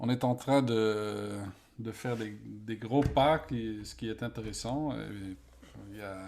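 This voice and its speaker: Very slow and fairly low-pitched, a man with a Dutch accent speaks with ordinary pitch variation and big swings in loudness, on a very clean recording with a silent background. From Netherlands. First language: Dutch (speaking French). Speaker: event design expert, author. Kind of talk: interview. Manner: halting, searching for words.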